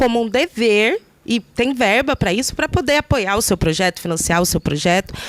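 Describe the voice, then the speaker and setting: In a dry, close recording with no echo, a woman talks at a fairly high pitch with lively intonation. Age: 20s. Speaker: poet and candidate for culture council. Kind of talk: meeting self-introduction. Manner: hesitant, many fillers.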